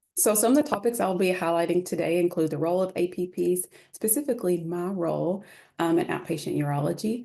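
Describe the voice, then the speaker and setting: Talking at a very fast pace with a Kentucky accent, a woman has a dark, mellow tone, a fairly low pitch, vocal fry and ordinary pitch variation. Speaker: urology nurse practitioner. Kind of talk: lecture.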